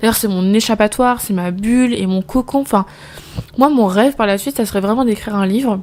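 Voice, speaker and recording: A woman with a fairly high voice and ordinary pitch variation can be heard over noticeable background noise. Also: fairly quick pace. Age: 20s. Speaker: postnatal caregiver and podcast host. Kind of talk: casual personal monologue. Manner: very fast; hesitant, stumbles over words.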